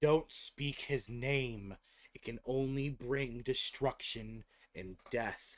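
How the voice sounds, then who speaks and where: Putting on a character voice at medium pitch, a man speaks at a very slow pace. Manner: creepy, ominous.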